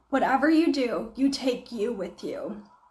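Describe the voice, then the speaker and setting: A woman's high-pitched voice at a very slow pace, with audible room echo and noticeable background noise. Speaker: faith-based self-help book discussion host. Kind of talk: casual book discussion livestream. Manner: casual with filler words.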